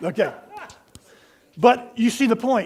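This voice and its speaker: A man speaks in an animated tone. His pitch is extremely high. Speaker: pastor. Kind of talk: sermon. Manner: fast.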